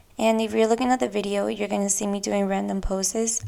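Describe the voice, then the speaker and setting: On a very clean recording with a silent background, a woman speaks with a Spanish accent. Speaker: podcast host. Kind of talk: casual monologue.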